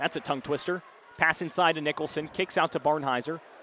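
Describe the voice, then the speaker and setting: Through noticeable background noise, a man speaks in an energetic tone at a fairly high pitch. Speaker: sports play-by-play announcer, college student. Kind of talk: live radio basketball play-by-play call. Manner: fast, energetic.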